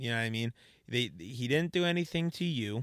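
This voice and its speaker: Recorded very cleanly with a silent background and a dry, close sound with no echo, a man speaks at a fairly quick pace with medium pitch and ordinary pitch variation. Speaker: podcast co-host. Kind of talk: heated debate; casual chat. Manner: angry, emphatic ranting, loud and insistent.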